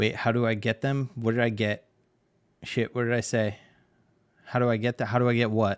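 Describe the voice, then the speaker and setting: The speech moves at a fairly quick pace in a monotone, flat intonation, broken by long, frequent pauses. The sound is dry and close with no echo. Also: man, medium pitch for a man. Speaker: digital artist streamer. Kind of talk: casual livestream chat while drawing. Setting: live stream. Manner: fast.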